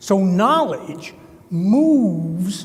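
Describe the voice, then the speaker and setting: A man talks in a New Jersey accent at a high pitch, with very wide pitch swings. Audible room echo is present. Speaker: construction consultant, keynote speaker. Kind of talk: conference talk.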